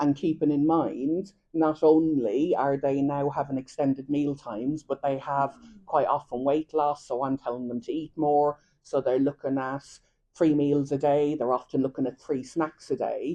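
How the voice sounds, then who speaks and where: With an Irish accent, the speaker's dark, mellow tone moves at a moderate pace in monotone, flat intonation. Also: woman, very deep, low pitch for a woman. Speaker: dietitian. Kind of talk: lecture.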